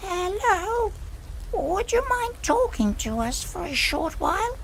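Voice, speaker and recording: Pitched extremely high, this put-on character voice moves at a fairly slow pace over clear background noise. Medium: machinima. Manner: gentle, curious.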